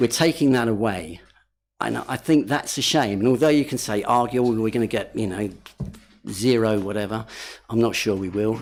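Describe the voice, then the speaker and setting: This man has a plain, everyday voice, medium in pitch, with ordinary pitch variation. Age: 60s. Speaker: local councillor. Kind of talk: committee debate.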